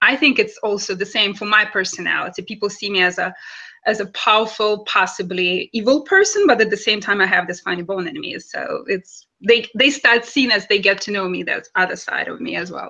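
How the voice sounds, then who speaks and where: With a Russian accent, the speaker talks at a fairly quick pace in a bright, sharp tone, with ordinary pitch variation and big swings in loudness. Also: woman, fairly high pitch for a woman. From Russia, Kaliningrad. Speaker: actress and model. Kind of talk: interview.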